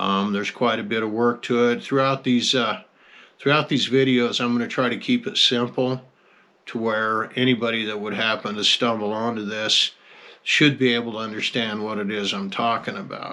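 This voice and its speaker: In a very clean recording with a silent background, a man at medium pitch speaks with a relaxed, bright, sharp tone and fairly even intonation. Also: moderate pace. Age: 60s. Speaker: rancher. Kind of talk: casual monologue. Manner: relaxed, folksy with hesitations.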